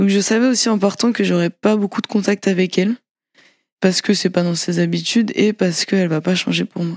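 A woman talks at a fairly quick pace in a normal speaking voice, her pitch medium and her intonation fairly even. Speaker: podcast storyteller. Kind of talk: personal testimony.

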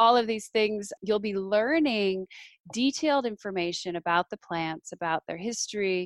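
In an American accent, a woman uses a normal speaking voice at a medium pitch. Her pace is moderate and her intonation lively. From northern Minnesota. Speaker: wild food expert and author. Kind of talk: interview.

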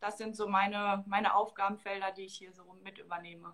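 A woman speaks in a fairly high-pitched voice. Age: 20s. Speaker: marketing staff at a football club, dual master's student. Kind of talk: interview.

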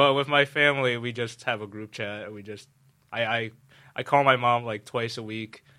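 A man with a New York accent, medium pitch, a bright, sharp tone, a moderate pace and big swings in loudness. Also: fairly even intonation, very clean recording, silent background. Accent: New York American. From New York City. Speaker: university student. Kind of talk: casual chat.

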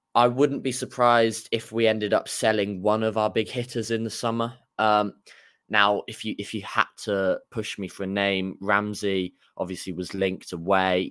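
A man with a normal speaking voice talks at a moderate pace, his fairly low pitch held in fairly even intonation. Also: very clean recording, silent background. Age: young. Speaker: football fan podcaster. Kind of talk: casual chat.

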